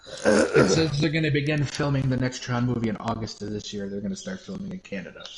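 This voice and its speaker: A man with an American accent speaks at a very fast pace in a medium pitch, his intonation lively. Noticeable background noise runs underneath. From Wisconsin, US Upper Midwest. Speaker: stream co-host. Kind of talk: casual chat.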